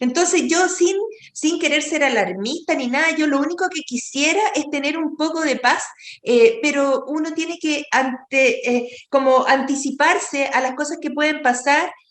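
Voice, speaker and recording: High-pitched woman's voice at a fairly slow pace, with ordinary pitch variation. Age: 60s. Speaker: doctor. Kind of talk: interview. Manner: halting.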